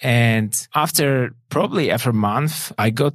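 Spoken at a fairly slow pace with a Polish accent, the recording is very clean over a silent background. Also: man. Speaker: online course founder. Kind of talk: interview. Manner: halting.

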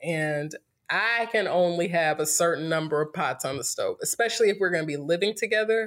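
A woman with an American accent speaks at a fairly quick pace in a fairly low voice, with ordinary pitch variation and an unremarkable speaking voice. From US South, North Carolina (Greensboro). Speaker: podcast guest. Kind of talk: casual chat.

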